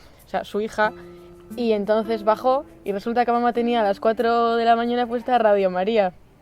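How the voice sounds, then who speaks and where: Over music in the background, a woman speaks at a fairly quick pace with fairly high pitch and monotone, flat intonation. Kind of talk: casual talk to camera.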